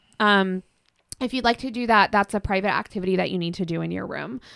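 A woman with a Pacific Northwest accent speaks at a medium pitch and a fairly quick pace, her intonation fairly even. The recording is very clean, dry and close, with no echo and a silent background. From Washington State, Kitsap Peninsula. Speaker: sex coach and shop owner. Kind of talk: casual interview chat. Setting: studio.

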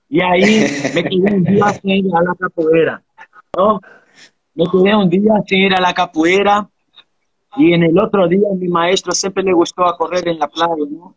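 A man talks at a high pitch and a fairly slow pace, with fairly even intonation. Long, frequent pauses fill the dry, close sound with no echo. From Brazil, Bahia (island near Salvador). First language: Portuguese (speaking Spanish). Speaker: capoeira master. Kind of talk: interview.

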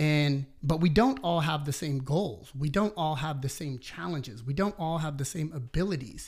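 On a very clean recording with a silent background, a man with a fairly high, somewhat breathy voice talks at a moderate pace, with hardly any pauses and ordinary pitch variation. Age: 30s. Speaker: personal trainer and business owner. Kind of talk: casual interview conversation.

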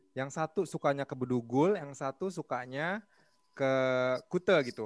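A man speaks in an ordinary speaking voice at a fairly high pitch, at a moderate pace with ordinary pitch variation, in a dry, close sound with no echo. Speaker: podcast co-host, sales professional. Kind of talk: casual chat.

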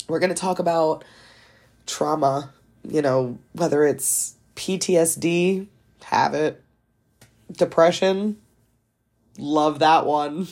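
A woman with an American accent speaks at a fairly low pitch and a very slow pace. She leaves long, frequent pauses. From US East Coast. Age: 20s. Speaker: podcast host. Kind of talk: casual monologue.

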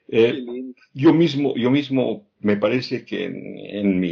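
A man with a medium-pitched voice speaks at a very slow pace, his intonation lively. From Bolivia, Oruro. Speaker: podcast host and author. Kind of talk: casual interview conversation. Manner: halting, repeating words.

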